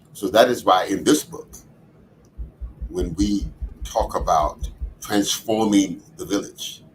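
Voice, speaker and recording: Using an American accent, a man talks at a very slow pace with long, frequent pauses and big swings in loudness. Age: 80s+. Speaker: community leader and author. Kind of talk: podcast interview, personal reflection.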